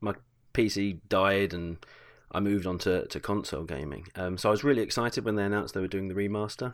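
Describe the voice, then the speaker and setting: Very fast speech from a man with a British accent, fairly low in pitch, ordinary pitch variation, on a very clean recording with a silent background. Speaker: podcast guest. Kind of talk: casual chat. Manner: halting.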